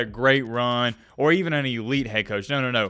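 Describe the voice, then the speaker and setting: This man's voice has a bright, sharp tone. His pitch sits in the medium range. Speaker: college football YouTuber. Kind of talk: vlog commentary. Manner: subdued, low energy.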